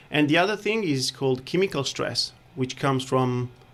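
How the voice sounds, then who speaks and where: A man speaks fairly quickly in an Italian accent at a medium pitch. Noticeable background noise sits behind him. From Italy. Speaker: chiropractor. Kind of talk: radio interview. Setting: studio.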